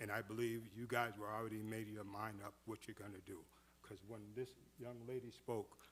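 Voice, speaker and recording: Here is a man in a normal speaking voice. He talks at a medium pitch and moderate pace. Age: 60s. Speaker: public commenter at city meeting. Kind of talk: public comment.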